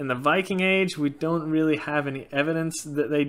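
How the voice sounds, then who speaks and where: The pace of this man's speech is moderate. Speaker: YouTuber on Norse paganism. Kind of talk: casual Q&A monologue. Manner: frequent filler words, loosely halting. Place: home room. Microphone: webcam.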